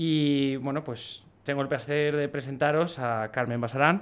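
A Spanish accent with fairly even intonation. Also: man. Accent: Peninsular Spanish. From Spain. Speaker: podcast host. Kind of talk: casual interview. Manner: casual, filler-heavy. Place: studio. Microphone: studio mic.

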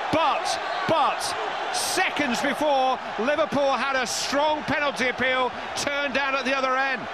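Amid loud background noise, a man talks at a moderate pace in a dry sound with no echo. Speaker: football TV commentator. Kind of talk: commentary. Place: stadium.

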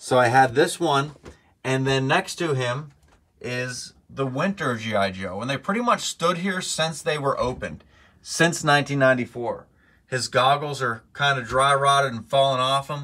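Moderately paced speech from a man, bright and sharp in tone. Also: ordinary pitch variation. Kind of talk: casual vlog chat. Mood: nostalgic, enthusiastic. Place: home room. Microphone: phone near.

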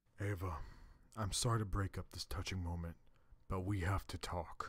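His pitch is very deep and low in this put-on character voice. The man speaks at a moderate pace. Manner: earnest, commanding.

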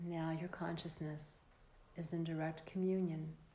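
A woman with a fairly low pitch speaks in a calm tone that is dark, mellow and somewhat breathy, her intonation monotone and flat. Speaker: yoga nidra teacher. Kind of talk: guided meditation. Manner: slow, soft-spoken, soothing; calm, with long pauses.

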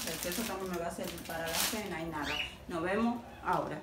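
There is noticeable noise in the background. A woman talks over it. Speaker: home vlogger. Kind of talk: casual vlog chat. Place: kitchen. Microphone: phone near.

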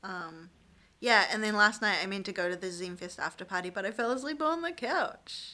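The tone is bright and sharp. Pitch moves in an ordinary way. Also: woman. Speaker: vlogger, election candidate. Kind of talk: casual vlog chat. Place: home room. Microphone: phone near.

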